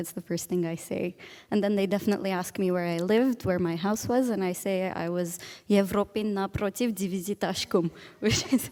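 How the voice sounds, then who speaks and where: A woman speaks very fast at a medium pitch, her tone dark and mellow with ordinary pitch variation. The recording is very clean, with a silent background. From Lebanon. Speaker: nonprofit director. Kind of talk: panel discussion. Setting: stage with audience.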